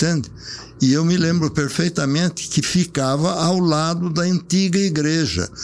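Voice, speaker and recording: Noticeable background noise sits under the speech. The delivery is fairly slow, with fairly even intonation. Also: man, high pitch for a man. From Brazil, Sorocaba (São Paulo state). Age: 80s+. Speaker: elderly local resident sharing memories. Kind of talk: casual reminiscing interview.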